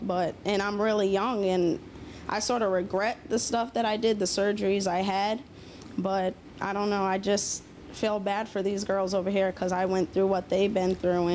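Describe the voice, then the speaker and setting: Over light background noise, a woman talks at a moderate pace in a monotone, flat intonation. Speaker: audience member. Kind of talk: testimony. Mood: earnest, somewhat regretful. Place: studio. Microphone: handheld.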